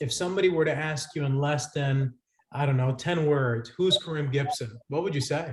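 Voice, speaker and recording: A man with an American accent speaks at a fairly quick pace in a fairly high, somewhat breathy voice. His pitch varies in an ordinary way. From Lynn, Massachusetts, US. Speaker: podcast host. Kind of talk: interview.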